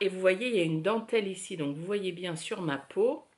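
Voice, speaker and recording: A woman's medium-pitched voice with lively intonation at a fairly slow pace. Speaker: knitting podcaster. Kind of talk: casual chat. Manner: hesitant, many filler words.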